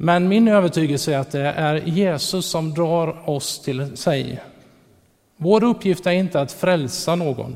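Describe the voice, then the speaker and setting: This man has an unremarkable speaking voice with a fairly high pitch and ordinary pitch variation. He talks at a fairly slow pace. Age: 40s. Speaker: preacher. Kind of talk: sermon.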